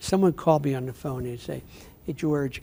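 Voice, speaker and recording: A man speaks at a fairly quick pace. His voice is somewhat breathy, with a dark, mellow tone. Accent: northeastern Pennsylvania. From northeastern Pennsylvania (Wilkes-Barre). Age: 70s. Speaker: city mayor. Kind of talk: interview.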